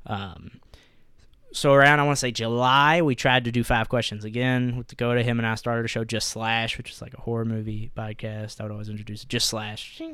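A man with a medium pitch and an unremarkable speaking voice talks at a fairly quick pace with fairly even intonation and big swings in loudness. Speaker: podcast host. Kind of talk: casual chat. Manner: casual, profane.

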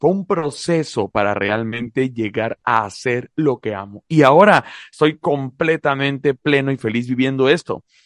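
This man has a plain, everyday voice. He talks at a moderate pace with lively intonation. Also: dry, close sound with no echo. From Mexico, La Paz, Baja California Sur. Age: 30s. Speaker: podcast co-host, public speaker. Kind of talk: podcast conversation. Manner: repeats words when starting sentences.

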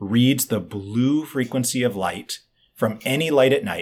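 A man with a normal speaking voice talks at medium pitch with ordinary pitch variation. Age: 40s. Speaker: biohacking author and expert. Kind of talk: interview conversation. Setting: remote video call.

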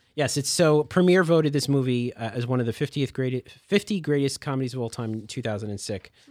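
In a very clean recording with a silent background, a man with an unremarkable speaking voice talks at medium pitch and a fairly quick pace, with hardly any pauses. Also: ordinary pitch variation. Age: 40s. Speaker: library podcast host. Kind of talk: casual chat.

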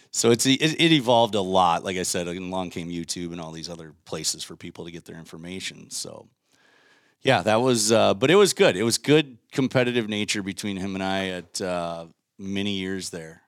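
Speaking at a fairly quick pace with an Upper Midwest accent, a man with a very deep, low pitch shows big swings in loudness on a very clean recording with a silent background. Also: ordinary pitch variation. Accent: Upper Midwest (Minnesota). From Minnesota, Waconia. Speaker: professional angler. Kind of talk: casual chat.

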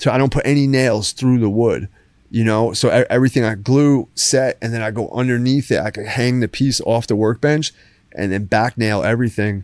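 In a dry, close sound with no echo, a man speaks with a New Jersey accent. His medium-pitched voice keeps fairly even intonation at a fairly quick pace. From Jersey Shore, New Jersey. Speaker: artist and woodworker. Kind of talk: casual interview. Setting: studio, lying down.

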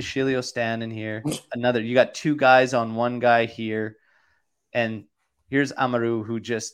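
A man at a moderate pace with a medium pitch. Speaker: football podcast host. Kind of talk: casual chat. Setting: live stream. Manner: animated.

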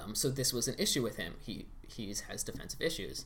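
A man talks at a moderate pace in a medium pitch with an American accent. Audible room echo surrounds his voice. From Pittsburgh, US. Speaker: podcast guest. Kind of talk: casual chat.

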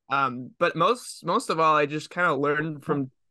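Against a quiet background, a man with an American accent talks at a fairly high pitch, his tone bright and sharp and his intonation fairly even. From Massachusetts, Lowell area near Boston. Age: young. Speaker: young filmmaker. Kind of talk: casual interview chat. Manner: halting, many fillers and restarts.

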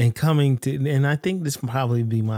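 Recorded very cleanly against a silent background, with a dry, close sound and no echo, a man with an American accent speaks in a medium pitch and a dark, mellow tone. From US South, Florida Panhandle. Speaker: podcast host. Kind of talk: casual chat.

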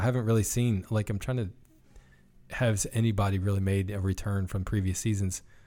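Over music in the background, a man talks fairly quickly in a fairly low voice with fairly even intonation. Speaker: podcast co-host. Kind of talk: casual chat.

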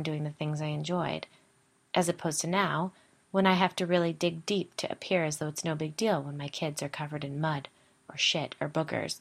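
A woman's unremarkable speaking voice, fairly low in pitch and fairly even in intonation, at a fairly quick pace in a very clean recording with a silent background. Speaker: podcast host. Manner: storytelling, conversational.

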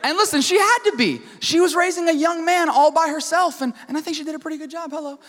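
Over noticeable background noise, a man speaks at a very fast pace with hardly any pauses, in an extremely high pitch. His tone is animated, his pitch varies in an ordinary way, and his loudness swings widely. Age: 20s. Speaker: student pastor. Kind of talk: sermon. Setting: church.

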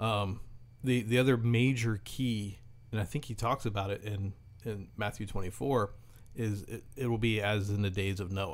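A man with an ordinary speaking voice, a fairly low pitch, fairly even intonation and a moderate pace. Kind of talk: casual chat.

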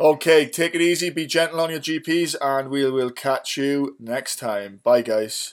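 A man with a fairly high pitch talks at a fairly slow pace, with hardly any pauses and ordinary pitch variation. It is an unremarkable speaking voice. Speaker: podcast host. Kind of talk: casual interview.

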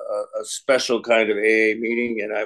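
A man at medium pitch, with a fairly bright tone and a fairly quick pace

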